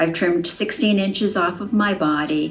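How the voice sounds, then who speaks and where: Noticeable background noise and audible room echo surround a woman speaking at a fairly slow pace in a fairly low pitch. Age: 70s. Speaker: gym client. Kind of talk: testimony.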